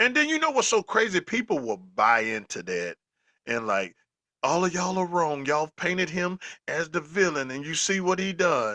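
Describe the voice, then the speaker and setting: A loud, animated voice with a Southern US accent, a bright, sharp tone and very wide pitch swings at a moderate pace, dry and close with no echo against a quiet background. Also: man, high pitch for a man. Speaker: football podcast co-host. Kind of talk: casual chat.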